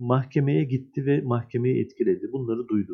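A man's ordinary speaking voice at medium pitch, with ordinary pitch variation and a moderate pace. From Turkey, Adana. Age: 50s. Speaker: screenwriter and union head. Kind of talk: interview.

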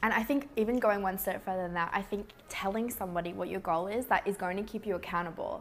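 In an Australian accent, a woman speaks at medium pitch with ordinary pitch variation. Her pace is very fast. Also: hardly any pauses. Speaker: podcast host. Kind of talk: casual interview chat. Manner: upbeat, bubbly, laughing.

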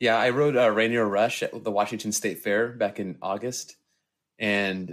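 A man's medium-pitched, a normal speaking voice at a moderate pace, with fairly even intonation, on a very clean recording with a silent background. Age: 30s. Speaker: coaster YouTuber. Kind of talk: casual chat.

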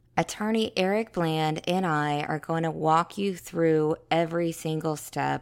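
Her pitch fairly low with ordinary variation, a woman with an American accent speaks at a fairly slow pace. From South Carolina. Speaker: journalist and podcast host. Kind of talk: scripted narration.

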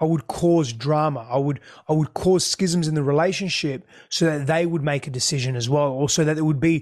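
A man with an Australian accent talks at a very fast pace and a fairly high pitch. His intonation is fairly even, over a quiet background. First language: Greek. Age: 30s. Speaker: relationship expert. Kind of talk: interview.

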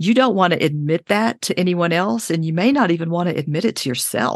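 This woman has an unremarkable speaking voice at a medium pitch. The background is quiet. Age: 60s. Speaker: podcast co-host, retiree. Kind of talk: interview.

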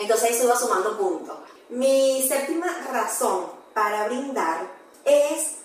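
A woman's high voice with ordinary pitch variation, amid noticeable background noise and audible room echo. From Venezuela, Barquisimeto. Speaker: mom blogger and entrepreneur. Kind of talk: casual interview chat.

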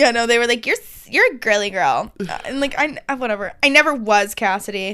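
Hardly pausing, a woman with an American accent talks in a bright, sharp tone at a fairly high pitch, her intonation lively and her loudness swinging widely. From US, rural country town. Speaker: podcast co-host. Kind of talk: casual chat.

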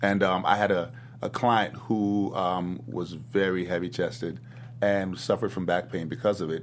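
Speaking at a moderate pace, a man with an American accent has a fairly low pitch and an unremarkable speaking voice. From US South. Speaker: fitness gym owner and trainer. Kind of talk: casual interview chat.

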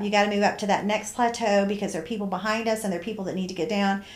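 A woman's medium-pitched voice with fairly even intonation comes through with audible room echo. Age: 60s. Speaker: hiker and friend of the host. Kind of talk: testimony.

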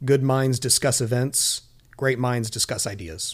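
In an unremarkable speaking voice, a man with an American accent talks at medium pitch and a fairly slow pace with fairly even intonation, on a very clean recording with a silent background. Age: 40s. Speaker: business owner. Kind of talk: casual chat.

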